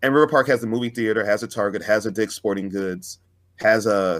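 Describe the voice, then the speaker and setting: A plain, everyday voice with an American accent moves at a fairly quick pace. The recording is very clean, with a silent background. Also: man. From Fresno, California. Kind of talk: casual chat.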